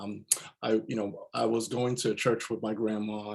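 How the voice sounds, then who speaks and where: The man's voice sits at a medium pitch and stays flat and monotone throughout. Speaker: voice actor; business and leadership coach. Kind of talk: interview answer.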